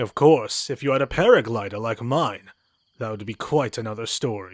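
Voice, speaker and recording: On a very clean recording with a silent background, a man uses a put-on character voice at a medium pitch and moderate pace, with ordinary pitch variation. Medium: game stream. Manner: formal, old-fashioned phrasing; knowing, wry.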